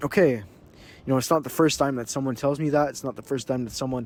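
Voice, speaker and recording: In a Quebec accent, a man talks at medium pitch with fairly even intonation. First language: French. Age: young. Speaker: vlogger and business owner. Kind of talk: casual vlog monologue. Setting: outdoors on a beach. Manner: halting, many repetitions.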